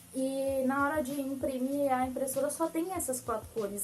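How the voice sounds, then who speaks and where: A woman with a high pitch at a moderate pace. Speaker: graphic designer, tutorial youtuber. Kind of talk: tutorial.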